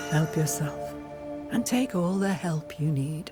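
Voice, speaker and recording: Over clear music in the background, a female-sounding put-on character voice speaks at a fairly slow pace with a very deep, low pitch. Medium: game stream. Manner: calm, cryptic, knowing.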